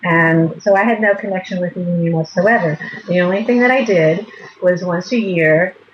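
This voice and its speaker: A woman with an American accent at medium pitch and ordinary pitch variation, moderate pace, over noticeable background noise. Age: 60s. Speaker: retired teacher. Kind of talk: interview.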